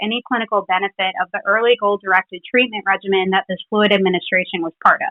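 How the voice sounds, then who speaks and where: A woman with a slight Philadelphia accent speaks very fast at a medium pitch, her loudness swinging widely. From Philadelphia, US. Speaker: clinical pharmacist. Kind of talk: scripted literature presentation.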